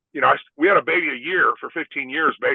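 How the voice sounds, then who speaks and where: Here is a man with a Texan accent. He talks at a fairly quick pace. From Texas, San Antonio. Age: 60s. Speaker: former NFL player. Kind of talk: podcast interview. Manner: halting.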